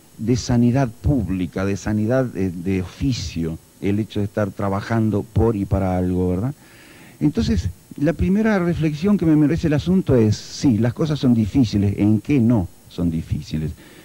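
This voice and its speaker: The man's voice sits at a fairly low pitch. It has a dark, mellow tone. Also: moderate pace. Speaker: guest. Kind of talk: interview answer. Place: hall. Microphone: handheld.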